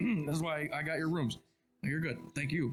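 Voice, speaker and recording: Faint music plays behind a man doing a raspy, put-on character voice with a fairly high pitch, very even loudness and a moderate pace. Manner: talking with a full mouth.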